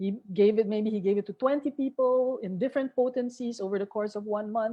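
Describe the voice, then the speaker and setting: Delivered at a fairly quick pace, a plain, everyday voice keeps a fairly even intonation. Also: woman, fairly high pitch for a woman. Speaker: homeopathy teacher. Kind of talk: online lecture.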